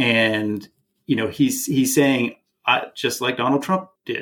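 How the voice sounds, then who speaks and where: With a Canadian accent, a man speaks at a fairly slow pace in an unremarkable speaking voice of medium pitch. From Canada. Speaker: film director. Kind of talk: casual chat.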